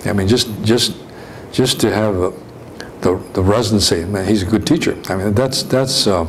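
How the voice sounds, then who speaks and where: Amid noticeable background noise and audible room echo, a man with an American accent talks at a moderate pace in a fairly low pitch. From California. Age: 70s. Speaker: retired physician. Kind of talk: interview reminiscence. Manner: halting, many repetitions and fillers.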